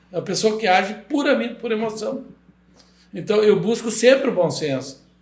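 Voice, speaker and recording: A man's high-pitched voice with lively intonation and a moderate pace, with audible room echo. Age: 70s. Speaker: construction company owner. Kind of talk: podcast interview.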